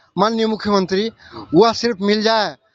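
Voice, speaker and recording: The speaker is a man. His pitch is high. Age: 70s. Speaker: retired teacher on hunger strike. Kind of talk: interview at a protest. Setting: outdoors at a protest site. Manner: impassioned pleading.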